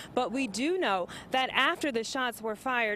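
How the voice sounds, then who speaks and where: A woman talks at a moderate pace. Her tone is bright and sharp. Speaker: TV news reporter. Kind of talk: TV news field report.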